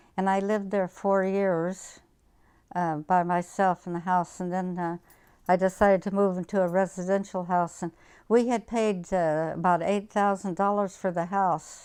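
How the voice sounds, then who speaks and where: The voice stays monotone, with flat intonation, at a moderate pace. The recording is very clean, with a silent background. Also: woman, medium pitch for a woman. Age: 80s+. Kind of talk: interview answer.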